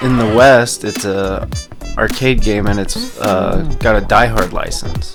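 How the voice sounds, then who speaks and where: Music plays in the background as a man speaks at a fairly slow pace. Room echo is audible. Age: 30s. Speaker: gaming video creator. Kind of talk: let's play commentary. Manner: casual with many fillers.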